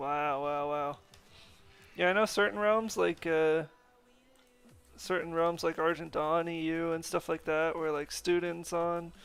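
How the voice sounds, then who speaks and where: A man with a North American accent speaks at a high pitch with fairly even intonation. He leaves long, frequent pauses, and music plays in the background. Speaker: gaming streamer. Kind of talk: casual live stream chat. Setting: live stream. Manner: casual, filler-heavy.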